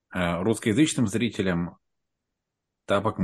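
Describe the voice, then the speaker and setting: A man speaks at a fairly slow pace with ordinary pitch variation. The recording is very clean, with a silent background. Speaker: wedding host and wrestling fan. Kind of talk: casual chat.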